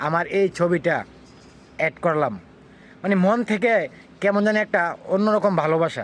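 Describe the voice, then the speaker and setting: A man's high-pitched voice holds very even loudness, with ordinary pitch variation. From Bangladesh, Brahmanbaria (Kasba). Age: 40s. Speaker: vlogger. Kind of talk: personal opinion monologue.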